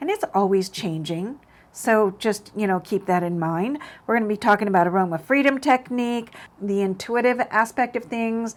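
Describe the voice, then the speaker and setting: A woman with a fairly high voice talks at a medium speed, her pitch varying normally. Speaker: psychic medium and spiritual teacher. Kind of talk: casual monologue to camera. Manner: loud; hesitant, many fillers.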